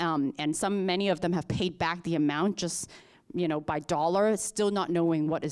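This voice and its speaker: Recorded very cleanly against a silent background, a woman speaks at a fairly quick pace with ordinary pitch variation. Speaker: panelist. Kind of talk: panel talk. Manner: fast.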